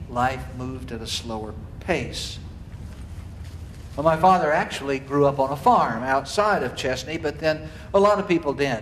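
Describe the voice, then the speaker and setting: A man with an American accent, lively intonation, a moderate pace, and audible room echo. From US South, Marietta, Georgia. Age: 60s. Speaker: cathedral dean teaching an adult class. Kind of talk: lecture. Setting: church hall.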